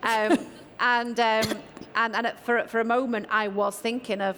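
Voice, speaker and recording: A woman with a northern English accent speaks with fairly even intonation. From northern England. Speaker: tech executive panelist. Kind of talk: panel discussion.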